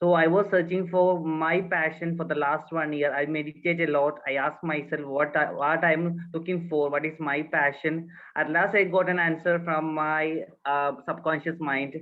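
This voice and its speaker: The speaker has a Keralan accent. The pace is moderate. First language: Malayalam. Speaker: counselling intern. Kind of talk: self-introduction in online class. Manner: halting.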